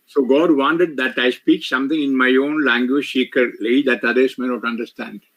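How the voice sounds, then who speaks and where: With a Keralan accent, a man speaks at medium pitch and a fairly slow pace. He barely pauses, and his intonation stays fairly even. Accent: Indian (Malayali) English. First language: Malayalam (speaking French). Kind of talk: retreat sermon with interpreter. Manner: short phrases paused for interpreter.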